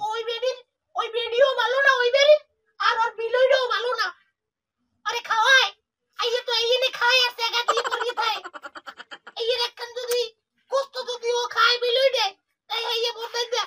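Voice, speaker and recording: A woman puts on a squeaky character voice at an extremely high pitch. She keeps a moderate pace and a monotone, flat intonation. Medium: comedy sketch. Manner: scolding, loud, grumbling.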